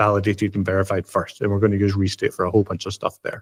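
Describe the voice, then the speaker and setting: A man comes through in a dry, close sound with no echo on a very clean recording with a silent background. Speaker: software developer and educator. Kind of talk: tech demo presentation. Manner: fast; casual, many fillers.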